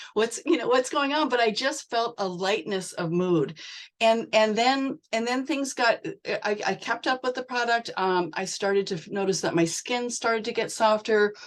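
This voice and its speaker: Against a quiet background, a woman with an unremarkable speaking voice talks at a moderate pace, her pitch fairly high with ordinary variation. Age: 60s. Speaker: direct sales member. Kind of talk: testimony.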